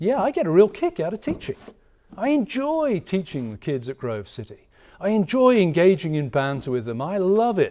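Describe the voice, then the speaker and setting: A fairly quick voice with an English accent, dark and mellow in tone, with very wide pitch swings. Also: man. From England. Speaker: professor. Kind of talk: lecture. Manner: conversational, with hesitations.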